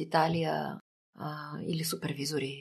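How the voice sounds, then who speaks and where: A woman speaking at a very slow pace. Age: 50s. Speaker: psychotherapist. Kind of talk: interview.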